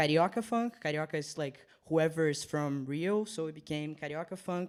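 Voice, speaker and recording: Speaking with a Portuguese accent, a man talks at a fairly slow pace and a fairly high pitch, with ordinary pitch variation. The recording is very clean, the background silent. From Brazil, Rio de Janeiro. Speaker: DJ. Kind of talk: casual radio chat. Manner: hesitant, many fillers.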